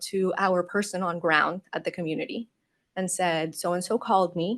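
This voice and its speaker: At a moderate pace and medium pitch, a woman talks against a quiet background. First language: not English. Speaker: UX designer. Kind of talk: conference Q&A answer. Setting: conference stage with audience.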